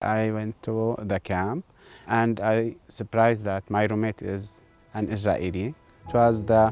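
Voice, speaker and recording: A man in a Levantine accent, fairly low in pitch with fairly even intonation, music playing behind him. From Syria and Jordan. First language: Arabic. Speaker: educator. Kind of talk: interview answer.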